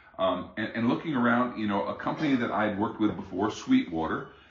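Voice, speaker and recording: A man speaks with audible room echo. Noticeable background noise is present too. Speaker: music hobbyist reviewing gear. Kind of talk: product review. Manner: halting, many fillers and repeats.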